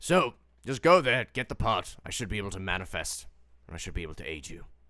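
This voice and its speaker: A raspy, put-on character voice from a man, fairly low in pitch and very fast, on a very clean recording with a silent background. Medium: actual play. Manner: weary, sighing.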